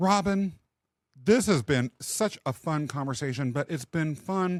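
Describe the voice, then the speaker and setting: Over a very clean recording with a silent background, a man with a fairly high pitch talks at a fairly slow pace with lively intonation, the sound dry and close with no echo. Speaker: podcast host and leadership coach. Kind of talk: casual interview chat. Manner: loud, boisterous.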